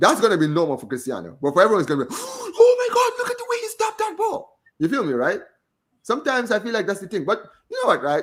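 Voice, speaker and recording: A man with a Gambian accent, at a very fast pace, with big swings in loudness. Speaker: football podcast host. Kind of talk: casual chat.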